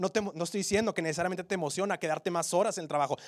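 His pitch is high for a man, and his intonation stays fairly even. He talks at a very fast pace. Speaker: preacher. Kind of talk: sermon. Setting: church. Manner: earnest, urgent, exhortative; direct, pleading with the congregation.

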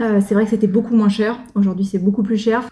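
With a fairly high pitch, a somewhat breathy quality and a dark, mellow tone, a woman speaks. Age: 30s. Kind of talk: casual chat.

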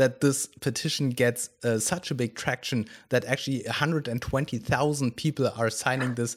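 This man speaks at a fairly slow pace. His voice sits at a fairly high pitch. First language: not English. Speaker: podcast host. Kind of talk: interview. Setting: video call.

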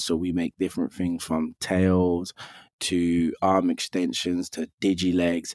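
A man with a London accent speaks in a very deep, low voice with flat, monotone intonation. The recording is very clean, with a silent background and a dry, close sound free of echo. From London, northwest. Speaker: actor. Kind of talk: interview.

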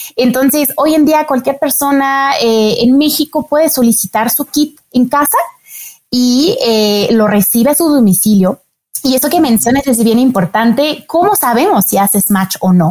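A woman's high-pitched voice with lively intonation, fairly slow pace and very even loudness, dry and close with no echo. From France. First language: French (speaking Spanish). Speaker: marketing manager of a donor registry. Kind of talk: interview. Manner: hesitant, many fillers.

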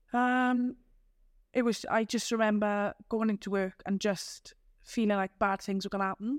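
In a very clean recording with a silent background, a woman with a South Wales accent speaks at a fairly high pitch and very even loudness. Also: moderate pace. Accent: Welsh (South Wales). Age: 30s. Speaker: community group founder. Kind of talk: podcast interview.

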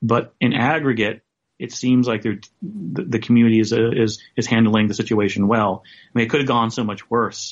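Using a plain, everyday voice, a man with an American accent speaks at a moderate pace and medium pitch with ordinary pitch variation. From US South. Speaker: photographer and writer. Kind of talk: interview.

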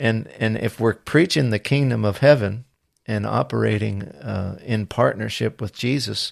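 A man with an American accent speaks at a fairly slow pace, his fairly low pitch carrying ordinary variation and vocal fry. The recording is very clean, with a silent background. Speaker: podcast host. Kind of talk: casual interview chat. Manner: hesitant, filler-heavy.

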